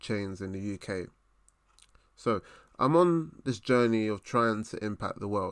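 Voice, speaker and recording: In a South London accent, a man speaks with a fairly low pitch at a moderate pace. The background is silent and the recording very clean. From South East London. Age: 20s. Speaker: podcast host, management consultant. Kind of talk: solo motivational monologue.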